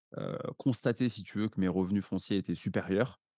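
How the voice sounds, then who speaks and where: Recorded with a dry, close sound and no echo against a quiet background, a man speaks with ordinary pitch variation. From France, Paris. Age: 30s. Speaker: real estate investor. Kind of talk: interview conversation.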